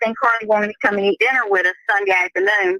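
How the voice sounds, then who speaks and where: A woman with a Southern accent, fairly high in pitch, with ordinary pitch variation, a bright, sharp tone and a dry, close sound free of echo. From US South. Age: 70s. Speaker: family member of an inmate. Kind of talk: casual chat.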